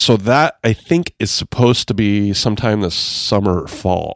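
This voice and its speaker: A plain, everyday voice from a man, fairly low in pitch at a moderate pace, on a very clean recording with a silent background. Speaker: podcast host. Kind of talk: casual chat.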